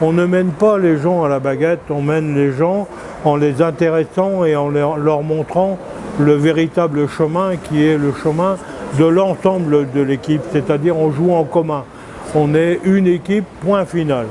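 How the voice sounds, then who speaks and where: Spoken at a fairly slow pace with fairly even intonation, the clip carries noticeable background noise. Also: man, fairly high pitch for a man. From France. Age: 70s. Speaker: former football coach. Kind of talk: street interview. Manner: halting.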